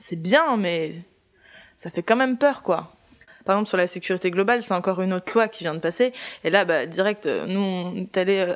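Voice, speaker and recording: Her pitch shows ordinary variation. The woman talks at a fairly quick pace. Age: 20s. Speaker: theatre student. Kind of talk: casual interview. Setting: apartment with windows open.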